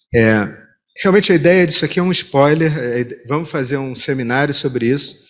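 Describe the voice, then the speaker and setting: A man with a Rio de Janeiro accent and a fairly high pitch speaks at a moderate pace with ordinary pitch variation amid audible room echo. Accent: carioca (Rio de Janeiro). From Rio de Janeiro, Brazil. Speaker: competition lawyer, seminar presenter. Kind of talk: conference presentation.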